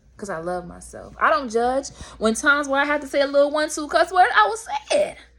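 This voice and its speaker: A woman with a high voice talks very fast, her pitch swinging very widely and her loudness rising and falling sharply, over noticeable background noise. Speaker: spiritual vlogger. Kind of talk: motivational monologue.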